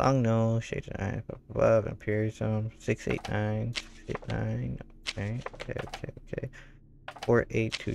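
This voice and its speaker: A man talks at a fairly slow pace with noticeable noise behind him. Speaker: gaming streamer. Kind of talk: live gameplay commentary.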